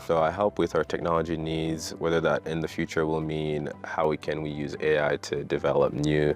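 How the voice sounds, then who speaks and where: A man talks in a very deep, low voice with flat, monotone intonation and hardly any pauses. Noticeable background noise sits underneath. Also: moderate pace. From Haiti. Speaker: startup team member. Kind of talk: interview for promotional video.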